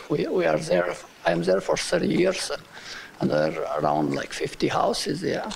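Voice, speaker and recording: A man speaks with a strong non-native accent over noticeable background noise. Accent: strong foreign. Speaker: resident giving public comment. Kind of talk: public comment. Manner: halting.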